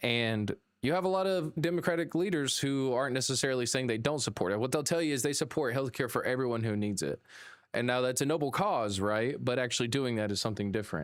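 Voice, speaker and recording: A man with an American accent and a medium pitch talks at a very fast pace with lively intonation and very even loudness, on a very clean recording with a silent background. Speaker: political news podcast host. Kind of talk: live news commentary. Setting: live stream.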